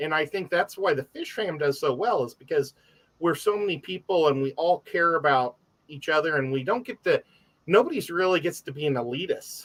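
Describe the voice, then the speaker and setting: Delivered at a fairly quick pace, the voice has lively intonation and a dry, close sound with no echo. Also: man, high pitch for a man. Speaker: aquarium hobbyist. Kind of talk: casual chat.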